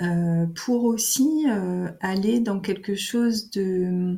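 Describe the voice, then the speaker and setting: A woman's somewhat breathy, medium-pitched voice at a very slow pace, with ordinary pitch variation. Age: 50s. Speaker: naturopath. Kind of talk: interview. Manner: hesitant, many fillers.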